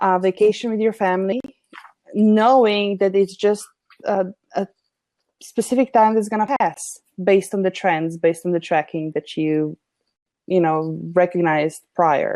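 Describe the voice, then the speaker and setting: A woman with a non-native accent speaks at medium pitch and a moderate pace, using a dark, mellow tone and ordinary pitch variation, with long, frequent pauses and a dry, close sound with no echo. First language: not English. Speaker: business consultant. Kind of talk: conversational interview discussion.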